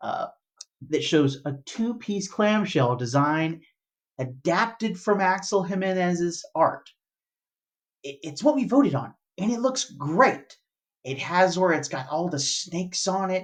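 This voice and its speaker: Fairly slow delivery in an American accent, broken by long, frequent pauses. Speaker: toy collector YouTuber. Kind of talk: casual video commentary. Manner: halting, repeats words.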